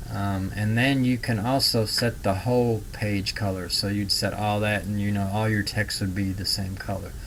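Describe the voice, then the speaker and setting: In a room with audible echo, a man of fairly low pitch speaks at a moderate pace with hardly any pauses and fairly even intonation. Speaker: online marketing instructor. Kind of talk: screen-share tutorial. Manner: casual, filler-heavy.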